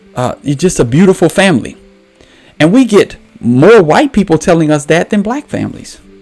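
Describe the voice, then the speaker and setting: With music in the background, a man with an American accent speaks at a high pitch, his pitch swinging very widely. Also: moderate pace. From New Orleans, US South. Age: 40s. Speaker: podcast host. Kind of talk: casual commentary. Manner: animated.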